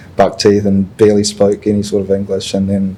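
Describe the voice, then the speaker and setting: A man speaks with a fairly low pitch. There is noticeable background noise. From New Zealand (Auckland), born in Chile. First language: Spanish. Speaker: social media influencer and corporate professional. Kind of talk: podcast interview.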